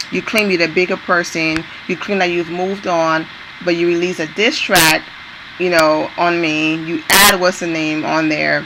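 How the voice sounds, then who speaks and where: A woman's fairly low, monotone voice with flat intonation at a moderate pace, over noticeable background noise. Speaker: entertainment news vlogger. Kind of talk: casual talk to camera.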